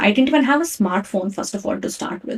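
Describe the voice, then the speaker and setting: With a Kannada accent, a woman speaks in a fairly high pitch with lively intonation. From India, Karnataka. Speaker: podcast host. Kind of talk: personal storytelling. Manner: casual, conversational.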